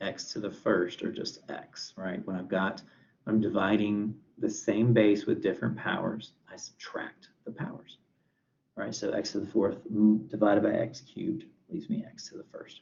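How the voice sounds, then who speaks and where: A man speaks at a fairly slow pace. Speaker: math professor. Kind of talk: lecture.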